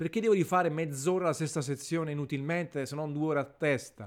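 A man with an unremarkable speaking voice at a fairly high pitch, ordinary pitch variation and a fairly quick pace, on a very clean recording with a silent background. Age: 30s. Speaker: gaming podcaster. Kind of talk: casual monologue.

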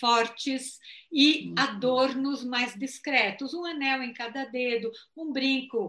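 With a bright, sharp tone and ordinary pitch variation, the voice moves at a very slow pace against a quiet background. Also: woman. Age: 60s. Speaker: psychologist and former flight attendant. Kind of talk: live-stream interview.

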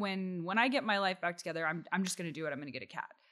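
In an American accent, a woman speaks very fast at medium pitch with a bright, sharp tone. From Texas, Austin. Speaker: talent manager. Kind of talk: casual chat.

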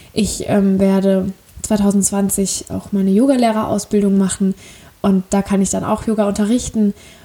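Monotone, flat intonation in a woman's medium-pitched voice. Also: moderate pace. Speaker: podcaster. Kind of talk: casual monologue. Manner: hesitant, many fillers.

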